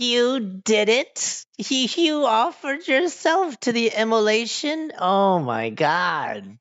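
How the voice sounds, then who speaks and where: A put-on character voice cackles at a very slow pace in a fairly high pitch. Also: hardly any pauses. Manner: cackling madly, gleeful.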